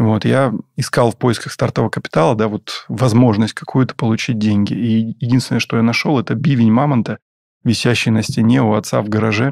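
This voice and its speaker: An unremarkable speaking voice: a man with a medium pitch and ordinary pitch variation, talking at a fairly quick pace. The recording is very clean, with a silent background and a dry, close sound with no echo. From southern Russia, Taganrog. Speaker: business owner, restaurant franchisee. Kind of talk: interview. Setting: studio.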